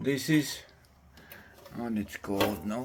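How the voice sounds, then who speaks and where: Speaking slowly with a non-native accent, a man uses lively intonation. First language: not English. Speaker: DIY homeowner reviewing a product. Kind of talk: casual video review. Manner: halting.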